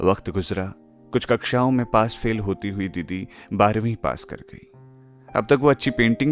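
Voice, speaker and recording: A man speaks with lively intonation. Music plays in the background. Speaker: radio jockey and storyteller. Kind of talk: story narration, podcast.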